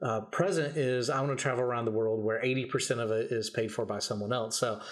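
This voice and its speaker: A man with an American accent speaks at a very fast pace, keeping his loudness very even and his intonation fairly even. Audible room echo surrounds him. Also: medium pitch for a man. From Kentucky, US South. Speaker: entrepreneur, event host. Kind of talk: podcast interview.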